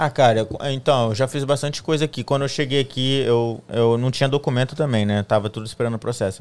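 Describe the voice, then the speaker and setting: A man talks in an ordinary speaking voice at a fairly quick pace. His pitch varies in an ordinary way. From Espírito Santo, Brazil. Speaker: guest, social media professional. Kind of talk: casual interview chat. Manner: casual, conversational.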